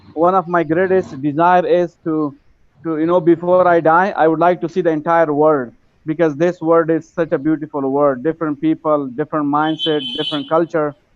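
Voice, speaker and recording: Using monotone, flat intonation, a man speaks with an Afghan accent at a moderate pace. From Afghanistan. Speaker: English learner, participant in online class. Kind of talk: casual chat.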